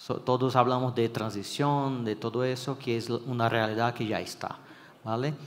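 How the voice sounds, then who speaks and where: The speaker has a Brazilian accent and fairly even intonation. There is audible echo from the room. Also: man. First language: Portuguese (speaking Spanish). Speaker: electrical engineering consultant. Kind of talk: conference talk. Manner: hesitant, with fillers and restarts.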